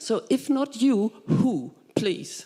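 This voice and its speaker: A woman speaks with a German accent. Noticeable background noise is present. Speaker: audience member, software scientist. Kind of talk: audience question.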